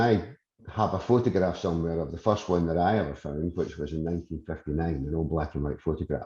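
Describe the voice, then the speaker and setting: A man with a Scottish accent and a dark, mellow tone, at a moderate pace with ordinary pitch variation and a quiet background. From Scotland. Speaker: industry expert, committee chairman. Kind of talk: webinar presentation. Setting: online webinar.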